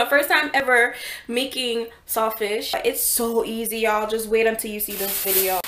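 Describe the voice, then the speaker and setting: A woman speaks at a moderate pace. Her intonation is fairly even. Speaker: home cook vlogger. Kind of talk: casual vlog chat. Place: kitchen. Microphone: phone near.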